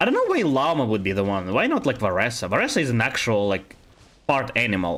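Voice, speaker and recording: Delivered at a very fast pace with very even loudness, a man's speech carries a Russian accent. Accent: Russian accent, very apparent. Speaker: video game streamer. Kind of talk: casual live-stream chat. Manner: hesitant, many fillers and restarts.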